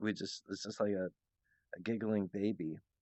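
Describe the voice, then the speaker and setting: With a strong American accent, a man talks at a moderate pace and a fairly low pitch, keeping his intonation fairly even. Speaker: channel owner, solo monologue. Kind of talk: casual rambling monologue. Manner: halting, many false starts.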